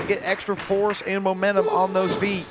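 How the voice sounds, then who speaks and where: Noticeable background noise sits behind a man with a high pitch who speaks at a moderate pace in a monotone, with flat intonation. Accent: American. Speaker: wrestling color commentator, wrestler. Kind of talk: live commentary. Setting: live wrestling event at training academy.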